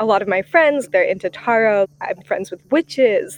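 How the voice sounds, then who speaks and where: This woman has a plain, everyday voice, pitched fairly high, at a moderate pace. The sound is dry and close, with no echo. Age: 20s. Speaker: magazine staffer trying tarot. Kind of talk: casual interview. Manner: casual, filler-heavy.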